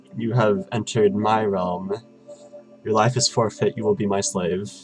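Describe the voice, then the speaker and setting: Clear music plays behind a man using a put-on character voice. He sounds fairly low and speaks at a moderate pace. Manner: menacing, declaring.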